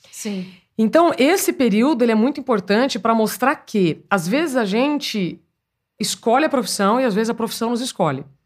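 The very clean recording, with a silent background, captures a woman speaking at a moderate pace with a fairly high pitch. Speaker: journalist. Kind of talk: casual chat. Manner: naturally projected, broadcast-style.

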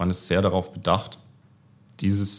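With a very deep, low pitch and vocal fry, a man talks at a moderate pace. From Baden-Württemberg, Germany. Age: 30s. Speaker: management consultant. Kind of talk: interview. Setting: office.

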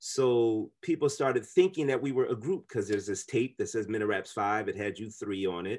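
Over a quiet background, a man with an unremarkable speaking voice and medium pitch talks at a fairly quick pace with lively intonation. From US Midwest (Kansas City, Chicago suburbs). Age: 40s. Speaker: musician and university chaplain. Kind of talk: casual chat.

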